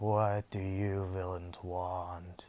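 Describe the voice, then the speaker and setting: A man puts on a character voice, pitched very deep and low. His delivery is flat and monotone over a very clean recording with a silent background. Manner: shaky.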